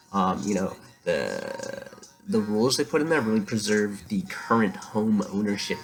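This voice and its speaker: A soft-spoken man at a moderate pace, very wide pitch swings, and noticeable background noise. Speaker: vlogger. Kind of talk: casual monologue to camera. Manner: halting, many fillers.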